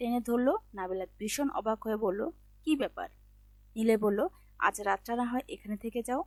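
The speaker reads aloud in a natural voice. Pitch moves in an ordinary way.

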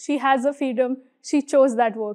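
A woman talks at a fairly quick pace. Her pitch is high, and the background is quiet. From India, Mumbai. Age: 20s. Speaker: motivational speaker. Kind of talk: inspirational talk on stage. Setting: stage with audience. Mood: proud, warm, reflective. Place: studio.

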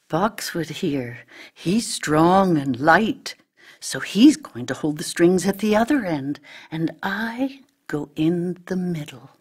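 A woman's put-on character voice, slow and fairly low-pitched, with lively intonation, a slightly husky edge, and few pauses

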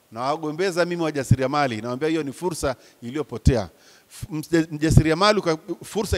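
This man's voice sits fairly high in pitch. He talks at a fairly quick pace with ordinary pitch variation. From Tanzania. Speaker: professor, business lecturer. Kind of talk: talk to an audience of entrepreneurs. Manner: animated. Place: hall. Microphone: handheld.

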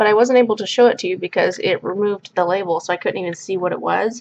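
A woman talks in a medium pitch with ordinary pitch variation. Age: 20s. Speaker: beauty vlogger. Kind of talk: product review vlog. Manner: casual, filler-heavy.

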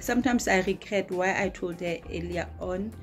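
A woman's voice over faint music in the background. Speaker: vlogger. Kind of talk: casual vlog chat. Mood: amused, chatty. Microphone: phone near.

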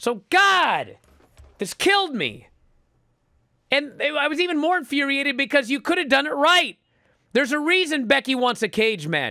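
Shouting in a raised, projected voice at an extremely high pitch, a man sounds animated, bright and sharp, with lively intonation, a moderate pace and long, frequent pauses. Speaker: pro wrestling podcast host. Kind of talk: casual chat. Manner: loud, yelling.

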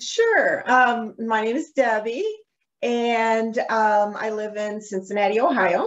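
A woman with a fairly high pitch, a slow pace and ordinary pitch variation

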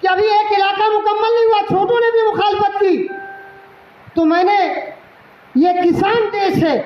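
Very slowly and at very even loudness, a man talks at an extremely high pitch, with audible room echo and light background noise. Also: fairly even intonation. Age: 50s. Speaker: cleric and party leader. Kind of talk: political speech. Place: hall. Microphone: podium.

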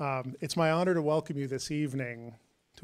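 A man is speaking against a quiet background. His intonation stays fairly even. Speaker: university president hosting event. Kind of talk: welcome speech. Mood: formal, warm. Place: stage. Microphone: handheld.

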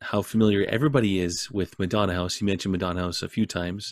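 Against a quiet background with a dry sound and no echo, a man speaks in a normal speaking voice at a fairly low pitch with ordinary pitch variation. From Saskatchewan, Canada. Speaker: men's ministry leader; ministry event host. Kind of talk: interview. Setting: video call. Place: home room.

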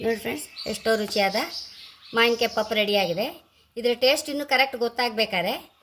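An unremarkable speaking voice with ordinary pitch variation carries through the clip. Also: woman. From Andhra Pradesh, India. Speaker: cooking video creator. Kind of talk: cooking tutorial. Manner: casual, chatty.

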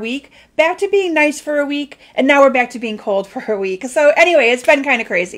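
Her pitch varies in an ordinary way. A woman is the one speaking. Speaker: papercraft demonstrator. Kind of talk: casual live stream chat. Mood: cheerful, chatty. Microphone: phone near.

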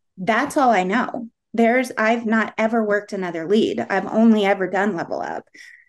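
A woman with a plain, everyday voice speaks at a moderate pace in a fairly high pitch with ordinary pitch variation. The background is quiet. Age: middle-aged. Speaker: part-time insurance agent and teacher. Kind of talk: interview. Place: home room. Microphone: video call.

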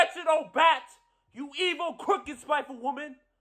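A man's raised, projected voice, bright and sharp in tone, with fairly even intonation against a quiet background. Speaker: actor. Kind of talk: theatrical dramatic monologue, vengeful confrontation of a hated rival. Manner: grandiose, declamatory, relishing each insult. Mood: angry, accusing, intense. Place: home room. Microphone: phone near.

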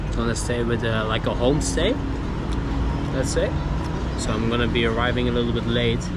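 There is loud background noise behind the speech. A man talks at a fairly quick pace. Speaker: travel food vlogger. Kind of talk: casual vlog chat. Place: market. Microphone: phone near.

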